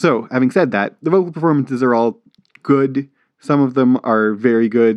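Speaking at a moderate pace with medium pitch and ordinary pitch variation, a man uses an unremarkable speaking voice. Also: very even loudness. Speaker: podcast co-host. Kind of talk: casual chat.

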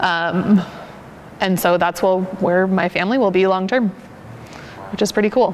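With an American accent, a woman speaks at a moderate pace and medium pitch, with long, frequent pauses. Her loudness is very even and her intonation fairly even, against noticeable background noise. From Portland suburb, Oregon. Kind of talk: casual interview.

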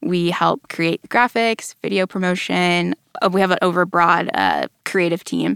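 A woman with an American accent at a fairly slow pace, dry and close with no echo, on a very clean recording with a silent background. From North Texas (Allen, near Dallas). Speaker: church staff member, communications team. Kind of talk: Bible study discussion. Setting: studio.

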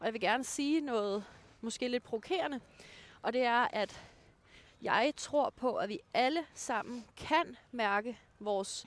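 Using a normal speaking voice, a woman talks at a fairly high pitch with lively intonation. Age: 30s. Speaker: dating blogger. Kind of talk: casual chat. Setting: outdoors on a walk.

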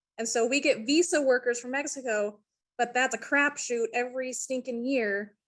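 The talking proceeds at a moderate pace. It is delivered in an American accent. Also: woman, high pitch for a woman. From US Mountain West, Idaho/Wyoming. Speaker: painting contractor. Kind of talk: video call question. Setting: video call.

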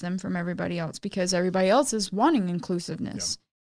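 A woman's plain, everyday voice at medium pitch, with an American accent and fairly even intonation. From Austin, Texas. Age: 20s. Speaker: record label owner and musician. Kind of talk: casual interview chat.

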